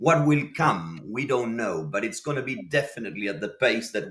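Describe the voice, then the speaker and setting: A man with a Spanish accent, vocal fry and very wide pitch swings. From Argentina, Buenos Aires. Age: 50s. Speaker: lighting designer. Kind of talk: interview conversation. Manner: repetitive, halting restarts.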